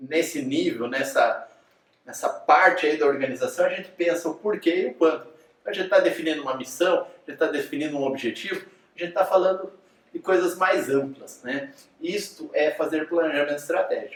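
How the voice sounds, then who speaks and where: Audible room echo surrounds a man with a high pitch. His pitch variation is ordinary. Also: moderate pace. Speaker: teacher. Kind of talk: lecture.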